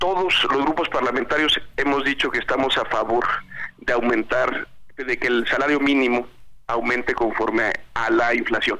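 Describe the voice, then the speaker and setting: Over noticeable background noise, a man of medium pitch speaks at a moderate pace, with fairly even intonation and very even loudness. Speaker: legislator. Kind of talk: interview.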